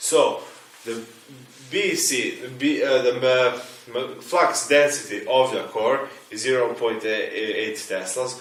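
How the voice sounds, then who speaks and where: Speaking very slowly, a man has a non-native accent. Room echo is audible, and there is noticeable background noise. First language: not English. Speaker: engineering teacher. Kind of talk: tutorial. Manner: halting.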